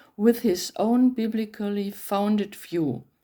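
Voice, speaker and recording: A woman with a German accent speaks very slowly at medium pitch in a dark, mellow tone. The recording is very clean, the background silent. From Germany. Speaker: bible translator. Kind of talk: reading aloud; talk to camera.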